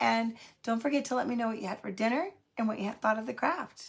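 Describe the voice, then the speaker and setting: A woman speaks with lively intonation. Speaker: craft livestream host. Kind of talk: casual livestream chat. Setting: live stream. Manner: chatty, many filler ums.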